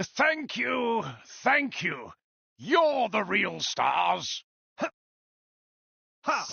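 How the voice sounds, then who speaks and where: This put-on character voice sits fairly high in pitch and moves at a very slow pace, broken by long, frequent pauses. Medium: video game. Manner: friendly, wry.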